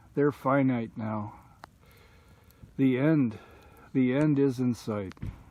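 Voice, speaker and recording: With a dark, mellow tone, a man speaks very slowly at a medium pitch and with fairly even intonation. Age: 60s. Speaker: outdoor vlogger. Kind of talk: casual vlog monologue. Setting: outdoors by campfire. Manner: reflective, halting.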